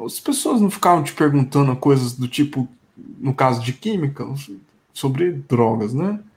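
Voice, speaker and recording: A man with a fairly high voice talks at a fairly slow pace. His voice is somewhat breathy. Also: lively intonation. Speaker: tech podcast host. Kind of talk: casual interview chat.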